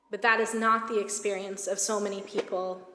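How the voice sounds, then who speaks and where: A woman with an American accent speaks at a medium pitch and a moderate pace. Her intonation is monotone and flat, with audible room echo. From United States. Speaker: rabbi. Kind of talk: sermon.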